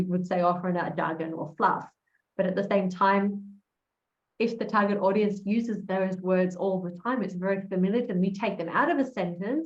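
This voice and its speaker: There is audible room echo as a woman with an American accent speaks at a moderate pace in a somewhat breathy voice, with ordinary pitch variation. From Australia. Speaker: copywriter, conference speaker. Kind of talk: casual interview conversation.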